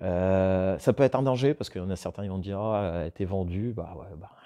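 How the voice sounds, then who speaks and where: Very deep and low, a man's voice has a dark, mellow tone and ordinary pitch variation. He moves at a fairly quick pace with big swings in loudness over a quiet background. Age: 40s. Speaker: woodworking YouTuber. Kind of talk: casual vlog talking to viewers. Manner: hesitant, many fillers and repetitions. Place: workshop.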